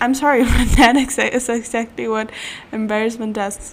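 Against noticeable background noise, a woman with a German accent talks in an animated tone, high-pitched and at a fairly slow pace. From German-speaking country. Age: 20s. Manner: animated, laughs often.

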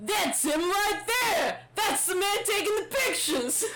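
A put-on character voice sits at an extremely high pitch. It moves at a fairly slow pace under loud background noise. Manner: excited accusing.

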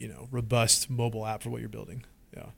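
A man with a West Coast accent speaks at a very fast pace. His medium pitch stays in a monotone, flat intonation. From Washington State. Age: 20s. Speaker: app company founder and CEO. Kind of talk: interview. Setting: studio. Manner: casual, filler-heavy.

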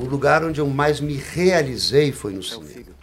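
Over music in the background, a man with a fairly high pitch speaks at a fairly slow pace. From Brasília, Brazil. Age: 50s. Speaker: actor and director. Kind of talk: interview.

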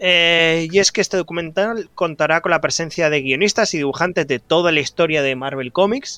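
Pitched high, a man speaks at a moderate pace with hardly any pauses, a bright, sharp tone and ordinary pitch variation, in a dry, close sound with no echo over a quiet background. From Spain, Barcelona. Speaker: podcast co-host. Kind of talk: casual chat.

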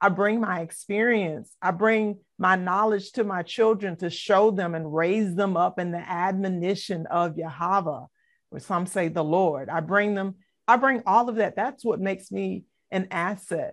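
Against a quiet background, a speaker with an American accent uses a normal speaking voice at a fairly slow pace with ordinary pitch variation. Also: woman, medium pitch for a woman. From US South, Savannah, Georgia. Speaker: assistant pastor. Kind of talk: interview.

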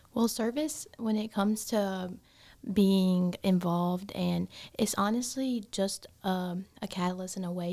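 Very slowly, a woman speaks at medium pitch in a dark, mellow tone with ordinary pitch variation and a Southern US accent. The recording is very clean, with a silent background. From South Carolina. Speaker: biomedical science student. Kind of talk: casual interview.

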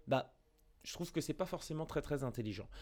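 Fairly high in pitch, a man's voice swings very widely up and down. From Paris area, France. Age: 20s. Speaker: pop culture video creator. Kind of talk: interview testimony. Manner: halting, many repetitions and fillers.

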